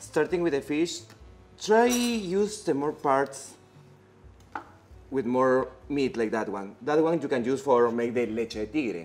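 A man talks at a fairly slow pace, with long, frequent pauses. Faint music plays in the background. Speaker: guest. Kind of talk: cooking demonstration tutorial. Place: kitchen.

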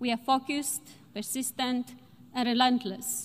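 At a moderate pace, a woman with a high voice speaks in a flat monotone. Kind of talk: formal speech. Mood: determined, measured. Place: hall. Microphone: podium.

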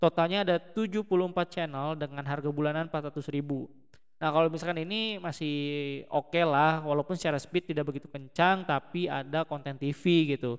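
A man talks at a moderate pace in a normal speaking voice. His pitch is fairly high, with fairly even intonation. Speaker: tech YouTuber. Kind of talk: product review. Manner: casual with many fillers.

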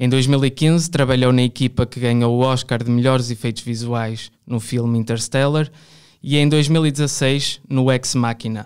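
In a very clean recording with a silent background, a man talks in a normal speaking voice at medium pitch, keeping a fairly slow pace and fairly even intonation. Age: 20s. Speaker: podcast host and art student. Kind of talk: interview.

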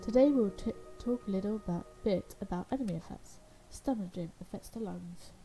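Speaking at a fairly quick pace, a woman has a dark, mellow tone, a medium pitch and a somewhat breathy quality. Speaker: gaming YouTuber. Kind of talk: let's play gameplay commentary. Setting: home recording at computer. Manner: casual, chatty, self-interrupting.

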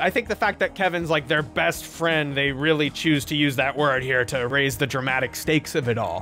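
A man at a moderate pace with hardly any pauses, faint music in the background. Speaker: video commentator. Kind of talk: commentary. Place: home room. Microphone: studio mic.

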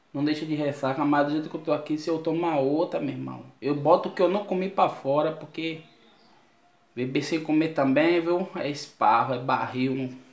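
A man talks at a moderate pace with fairly even intonation. Audible room echo can be heard. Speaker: vlogger. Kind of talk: casual vlog chat. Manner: groggy, queasy hungover voice. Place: home room. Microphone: phone near.

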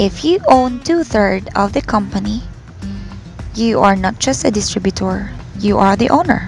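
A woman at a moderate pace with long, frequent pauses, music in the background. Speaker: voice-over narrator. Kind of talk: corporate narration, business presentation.

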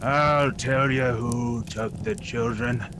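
A gruff, put-on character voice at a very slow pace over loud background noise. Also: man, medium pitch for a man.

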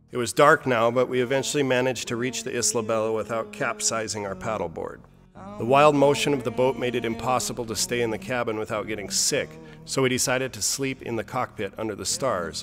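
The speech runs at a very fast pace with fairly even intonation. Faint music plays in the background. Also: man. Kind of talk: narration of travel video.

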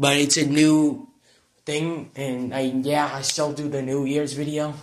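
There is audible room echo as a man speaks at a fairly high pitch. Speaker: video blogger. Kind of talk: casual vlog. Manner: halting.

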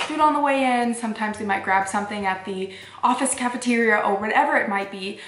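A woman talks at a very fast pace. Room echo is audible around her. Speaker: fasting vlogger. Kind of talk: casual vlog chat. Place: home room.

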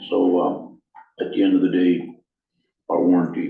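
Fairly slow speech carries vocal fry and fairly even intonation, with audible room echo. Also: man.

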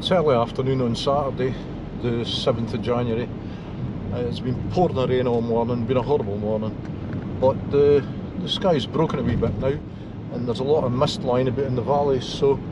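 A man at a fairly quick pace, dry with no echo, over loud background noise. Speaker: driver vlogger. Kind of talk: casual vlog chat. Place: car. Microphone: phone near.

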